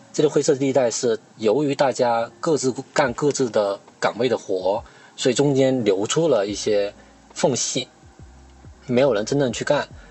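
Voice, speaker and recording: With music in the background, a man speaks fairly slowly at a medium pitch with ordinary pitch variation. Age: 30s. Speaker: podcast host and internet industry worker. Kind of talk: casual chat.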